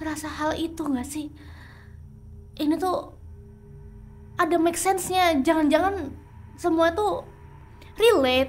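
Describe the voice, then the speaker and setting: Music plays in the background as a woman speaks at an extremely high pitch, leaving long, frequent pauses. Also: ordinary pitch variation, fairly slow pace. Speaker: ASMR roleplay creator. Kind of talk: horror ASMR roleplay, spoken to listener as a companion. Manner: soft, hushed, intimate, tense.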